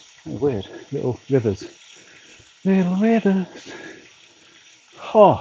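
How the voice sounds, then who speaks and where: With long, frequent pauses and a very slow pace, a man speaks at a high pitch in very wide swings, noticeable background noise behind him. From northern England, York. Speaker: charity cyclist livestreamer. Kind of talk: casual livestream chat. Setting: back garden on turbo trainer.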